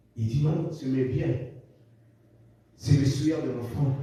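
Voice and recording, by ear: A man's dark, mellow tone at a fairly slow pace, heard with strong room echo. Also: medium pitch for a man, ordinary pitch variation.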